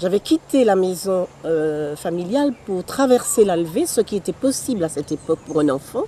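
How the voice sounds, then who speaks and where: A woman at medium pitch with very wide pitch swings, a moderate pace and hardly any pauses, over noticeable background noise. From Martinique, Fort-de-France. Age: 70s. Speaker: poet and author. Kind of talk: interview. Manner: halting, with many repetitions.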